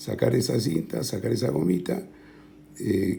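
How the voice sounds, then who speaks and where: A soft-spoken man talks at a fairly slow pace. His pitch is very deep and low. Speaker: tech tutorial youtuber. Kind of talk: tutorial. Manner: halting, many fillers.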